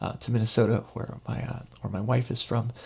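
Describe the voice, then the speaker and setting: A somewhat breathy man's voice, medium in pitch, at a very fast pace. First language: Spanish. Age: 30s. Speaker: professor. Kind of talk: lecture. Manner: halting, many fillers and repetitions.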